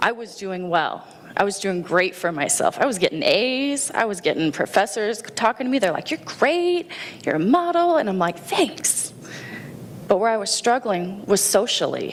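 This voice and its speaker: Loud and animated, a woman speaks in an American accent at a fairly high pitch with very wide pitch swings. Her pace is moderate, with noticeable background noise. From Indiana, US Midwest. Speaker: Navy veteran and schoolteacher. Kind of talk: personal story talk.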